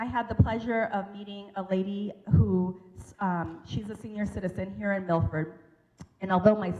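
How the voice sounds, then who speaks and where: Speaking at a moderate pace with ordinary pitch variation, this is an unremarkable speaking voice with an American accent. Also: woman. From US Pacific Northwest. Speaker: local election candidate. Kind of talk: campaign speech at forum.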